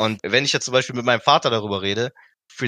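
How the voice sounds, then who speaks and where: Bright and sharp in tone, a man's medium-pitched voice keeps a fairly even intonation. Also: dry, close sound with no echo. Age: 20s. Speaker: graphic designer. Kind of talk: casual chat. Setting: video call.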